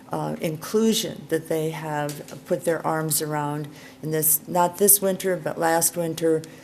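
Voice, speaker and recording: A woman's very deep, low voice with a dark, mellow tone, fairly slow, amid audible room echo. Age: 70s. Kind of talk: conference talk. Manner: halting.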